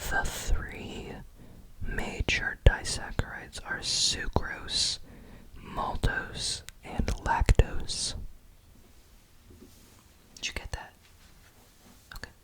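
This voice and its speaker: A man whispering at a very slow pace, with long, frequent pauses and noticeable background noise. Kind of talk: ASMR roleplay, soft-spoken. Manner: soft-spoken, quiet, whispery.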